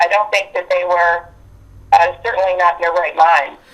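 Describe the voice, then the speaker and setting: A woman with an Appalachian accent speaks at medium pitch with fairly even intonation, and there is noticeable background noise. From West Virginia. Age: 60s. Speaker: abuse survivor sharing experiences. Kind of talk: interview testimony. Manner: halting.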